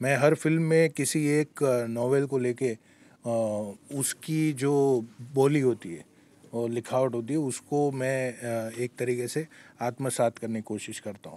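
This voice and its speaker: This man's voice has a dark, mellow tone at a medium pitch. His pitch varies in an ordinary way. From Gujarat, India. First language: Gujarati (speaking Hindi). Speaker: screenwriter and lyricist. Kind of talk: interview. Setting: film festival. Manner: hesitant with many fillers.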